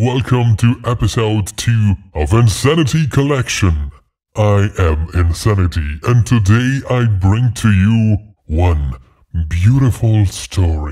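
A man puts on a character voice and delivers it at a fairly slow pace. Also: fairly low pitch for a man. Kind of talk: horror podcast host. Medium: read story. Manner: ominous, teasing.

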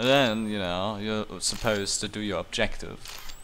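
A man speaks in a fairly low pitch at a fairly slow pace. His intonation is monotone and flat, and there is noticeable background noise. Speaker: gaming streamer. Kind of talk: profanity-laced angry rant at a video game. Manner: incredulous, swearing outbursts.

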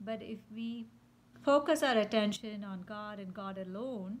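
A woman speaks in a somewhat breathy voice. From India. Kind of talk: spiritual reflection monologue. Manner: unscripted, with fillers.

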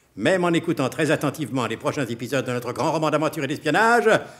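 Here is an ordinary speaking voice from a man with a fairly high pitch. He moves at a fairly quick pace. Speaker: announcer narrator of radio drama. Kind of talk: radio drama narration, mock-solemn announcer. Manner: pompous, tongue-in-cheek, brisk and playful.

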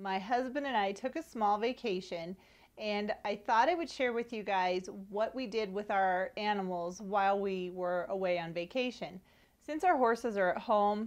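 Against a quiet background, a woman speaks at a moderate pace with ordinary pitch variation. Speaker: horse owner vlogger. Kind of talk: casual vlog chat. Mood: friendly, upbeat. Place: home room. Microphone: lapel.

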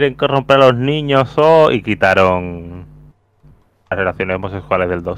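The pitch swings very widely in this voice with a Castilian accent. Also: man, fairly low pitch for a man, moderate pace. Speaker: podcast co-host. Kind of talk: casual chat.

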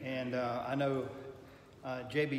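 A man speaks in a room with audible echo. Light background noise can be heard. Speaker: Sunday school teacher. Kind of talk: lecture. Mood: thoughtful, reflective. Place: classroom. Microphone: camera far.

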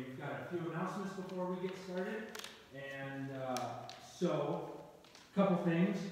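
Strong room echo and light background noise surround a man whose voice is high for a man, with fairly even intonation. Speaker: pastor. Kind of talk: church announcements. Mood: warm, friendly. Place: church. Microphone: camera far.

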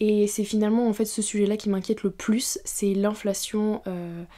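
At a fairly slow pace, a woman speaks with fairly high pitch and flat, monotone intonation. The background is quiet. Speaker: YouTuber. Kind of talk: casual Q&A talk to camera. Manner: hesitant, many fillers. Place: home room. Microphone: studio mic.

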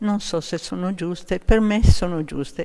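A woman speaks at a fairly slow pace with lively intonation. Her tone is dark and mellow. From southern Italy, Basilicata. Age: 80s+. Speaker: amateur painter. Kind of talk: interview. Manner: halting.

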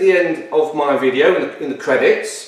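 A man talks at a moderate pace, and audible room echo can be heard. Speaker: car build vlogger. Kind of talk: casual vlog chat. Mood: mildly annoyed, explaining. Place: workshop.

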